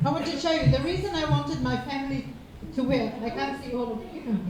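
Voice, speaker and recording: Amid audible room echo, a woman speaks at a moderate pace with a high pitch and very wide pitch swings. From Cook Islands. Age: 60s. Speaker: public speaker. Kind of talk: seminar talk.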